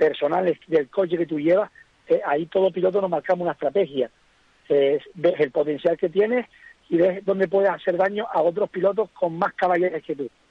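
A man's high voice has ordinary pitch variation and moves at a fairly quick pace. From Gran Canaria, Fataga. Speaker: rally driver. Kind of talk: interview.

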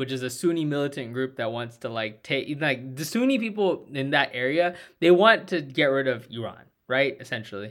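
A man speaks at a moderate pace with lively intonation and a plain, everyday voice. The recording is very clean, with a silent background. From Indian-American. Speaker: political podcast co-host. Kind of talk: casual political discussion.

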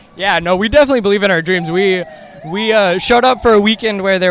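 A man with an American accent, ordinary pitch variation, and noticeable background noise. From US South, Atlanta Georgia. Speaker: soccer fan. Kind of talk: casual chat. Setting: outdoors.

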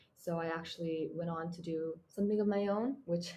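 A woman speaks at a fairly quick pace with a somewhat breathy, dark, mellow tone. Her pitch is fairly low, with ordinary pitch variation. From Mongolia. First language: Mongolian. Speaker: university student. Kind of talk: interview.

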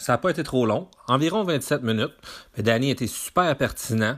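A man speaks at a fairly quick pace in a normal speaking voice of medium pitch. The recording is very clean, with a silent background. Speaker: podcast host. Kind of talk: interview. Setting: sports complex.

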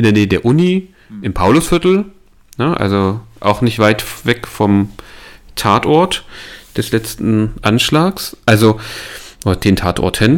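Using very wide pitch swings, a man speaks at a very slow pace with long, frequent pauses. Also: medium pitch for a man, very clean recording, silent background. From eastern Germany (Saalekreis near Halle). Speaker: podcast co-host. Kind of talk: casual chat.

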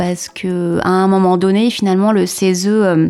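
Background noise is clearly audible here. Over it, a woman talks fairly slowly. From Paris region, southern suburbs. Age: 40s. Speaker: former citizen assembly member. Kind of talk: interview testimony.

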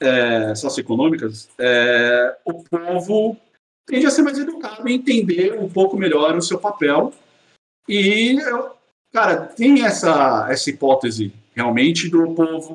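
A man speaks at a high pitch with very wide pitch swings. His pace is fairly slow, broken by long, frequent pauses. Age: 30s. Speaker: engineer and father. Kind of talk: casual interview chat.

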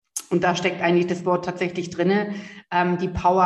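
Noticeable background noise runs through the clip. A woman talks at a medium pitch. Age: 30s. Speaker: empowerment coach. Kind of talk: interview. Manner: animated.

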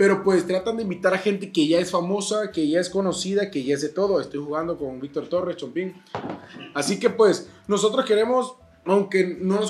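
There is noticeable background noise as a high-pitched man talks in an animated tone. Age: 20s. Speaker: podcast co-host. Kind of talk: casual chat.

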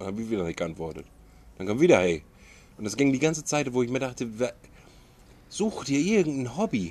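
This man's pitch swings very widely. His words come out very fast. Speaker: podcast co-host. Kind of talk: casual chat. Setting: outdoors.

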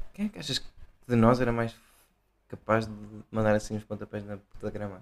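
A speaker with a Portuguese accent talks at a fairly quick pace in a monotone, flat intonation. The loudness swings widely, and there are long, frequent pauses. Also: man, fairly low pitch for a man. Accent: non-Porto Portuguese. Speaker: podcast co-host. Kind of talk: casual chat.

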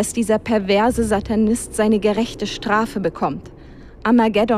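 A text is read out loud in a natural voice.

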